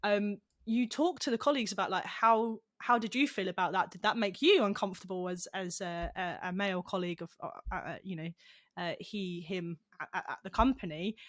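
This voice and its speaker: Recorded very cleanly against a silent background, a woman with a British accent speaks with a dry, close sound with no echo. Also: medium pitch for a woman, ordinary pitch variation. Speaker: esports company founder and CEO. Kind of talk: podcast interview. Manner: halting, repeats words.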